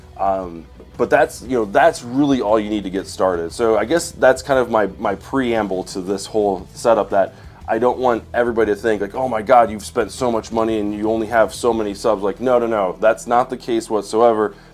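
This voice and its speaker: The speaker is a man talking at a fairly quick pace. His pitch varies in an ordinary way. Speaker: YouTuber and wedding videographer. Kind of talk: live stream tutorial. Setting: home studio live stream. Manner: halting, many fillers.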